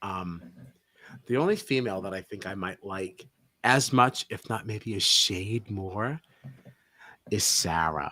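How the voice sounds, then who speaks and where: A man with an American accent speaks at a fairly low pitch in an animated, bright, sharp tone with ordinary pitch variation. His pace is fairly slow, broken by long, frequent pauses. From United States. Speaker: podcast co-host. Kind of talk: casual chat.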